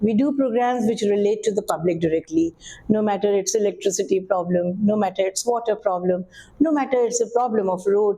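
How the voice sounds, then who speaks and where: A woman delivers her words fairly quickly and with lively intonation while noticeable background noise carries on. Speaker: assistant director at All India Radio, radio broadcaster. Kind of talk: interview answer. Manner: warm, energetic, fluent.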